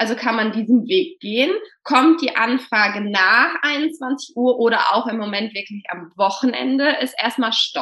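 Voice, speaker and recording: This woman's voice is high-pitched with lively intonation. She speaks at a fairly slow pace. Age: 30s. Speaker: primary school teacher. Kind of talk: casual interview.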